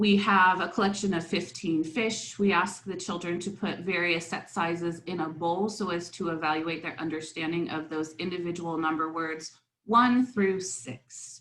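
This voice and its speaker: With hardly any pauses, a woman speaks at a moderate pace, her fairly low pitch showing ordinary variation. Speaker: academic researcher presenter. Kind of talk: conference talk. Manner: hesitant fillers.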